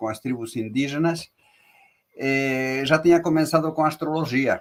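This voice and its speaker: At a moderate pace, the speech comes in a Spanish accent with ordinary pitch variation. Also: man. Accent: Spanish accent in Portuguese, noticeable. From Spain (born Morocco). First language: Spanish (speaking Portuguese). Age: 70s. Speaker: tarot reader, teacher and author. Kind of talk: interview. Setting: live video call.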